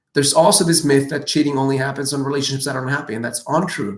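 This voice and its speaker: Delivered at a very fast pace, the voice sounds animated throughout. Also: man. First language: not English. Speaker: dating and relationship coach. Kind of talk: live Q&A answering viewer questions.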